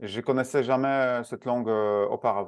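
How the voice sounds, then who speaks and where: Against a quiet background, a man with a Polish accent speaks with ordinary pitch variation. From Poland. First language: Polish (speaking French). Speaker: speed reading and learning specialist. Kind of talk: interview. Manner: halting, many hesitations.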